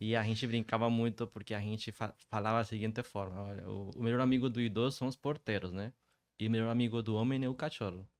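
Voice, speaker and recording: Speaking at a very fast pace with fairly even intonation, this voice comes through on a very clean recording over a silent background. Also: man, medium pitch for a man. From Colombia. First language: Spanish (speaking Portuguese). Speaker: startup founder. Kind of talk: podcast interview.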